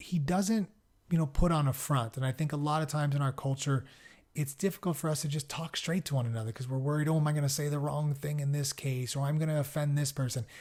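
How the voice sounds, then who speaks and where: A somewhat breathy man with an American accent, fairly high pitch and a very fast pace, on a very clean recording with a silent background. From Southern California. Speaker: podcast host. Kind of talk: podcast introduction. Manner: casual, hesitant with fillers.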